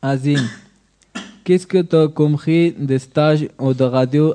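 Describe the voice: Speaking slowly at a medium pitch, a man keeps his intonation fairly even and his tone dark and mellow.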